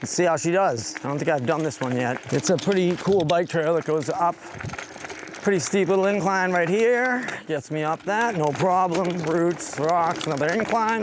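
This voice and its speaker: A high-pitched man with lively intonation at a moderate pace, over noticeable background noise. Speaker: scooter reviewer. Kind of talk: ride-along vlog commentary. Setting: outdoors on woodland trails while riding. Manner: casual, relaxed.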